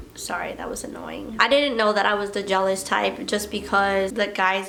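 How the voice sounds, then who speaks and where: The speech comes at a fairly slow pace, with audible room echo and noticeable background noise. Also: woman. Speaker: lifestyle vlogger. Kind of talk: casual chat.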